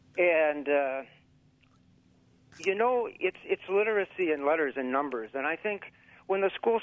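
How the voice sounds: Here a man speaks with an American accent. His pace is moderate and his pitch varies in an ordinary way.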